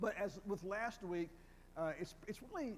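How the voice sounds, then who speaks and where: With a North Carolina accent, a man speaks at a fairly slow pace. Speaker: retired professor of Old Testament. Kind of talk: lecture. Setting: church hall with audience, wired microphone. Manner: halting, repeats words.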